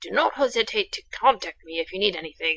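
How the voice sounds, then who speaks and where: A woman puts on a raspy character voice at a medium pitch, talking at a very fast pace with very wide pitch swings. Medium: game stream. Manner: proper, dry.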